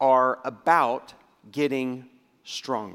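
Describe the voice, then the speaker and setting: With a very clean recording and silent background, a man's voice comes through. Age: 50s. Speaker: pastor. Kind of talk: sermon.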